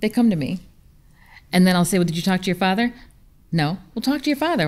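The delivery is very fast. Long, frequent pauses break it up. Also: woman. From upstate New York. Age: 40s. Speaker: business consultant. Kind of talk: panel discussion. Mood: warm, relaxed, smiling. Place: hall. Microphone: studio mic.

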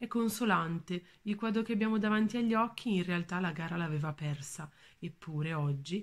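Somewhat breathy and fairly low-pitched, a woman speaks at a moderate pace. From northern Italy, Valle Imagna near Bergamo; northern Italy. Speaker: museum educator. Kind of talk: art talk. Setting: at home. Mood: warm, calm. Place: home room. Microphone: phone near.

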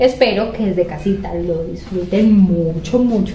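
A woman talks at medium pitch and a fairly slow pace, with ordinary pitch variation. Audible room echo surrounds her voice.

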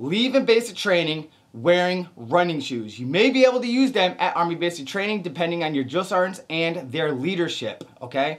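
At a moderate pace with hardly any pauses, a man talks in an animated tone against a quiet background. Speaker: army recruiter and drill sergeant. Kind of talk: tutorial. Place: home room.

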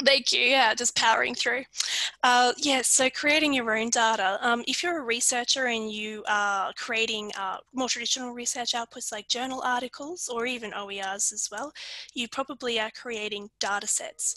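A woman's high voice with an Australian accent, ordinary pitch variation and a moderate pace, over a quiet background with a dry sound and no echo. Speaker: librarian presenter; presenter. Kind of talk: webinar presentation. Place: home room. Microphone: video call.

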